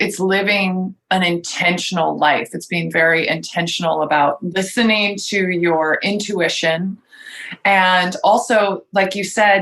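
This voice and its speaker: A woman with an unremarkable speaking voice talks at a fairly slow pace, her medium pitch showing ordinary variation. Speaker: podcast host. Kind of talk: interview question.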